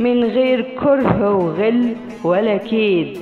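At a very slow pace, a woman with an Egyptian accent talks with ordinary pitch variation as music plays in the background. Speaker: voice-over artist. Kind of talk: read story. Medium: read story.

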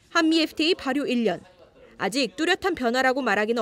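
Over noticeable background noise, a woman talks at a fairly quick pace in a high pitch that swings very widely. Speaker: news reporter. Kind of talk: news report.

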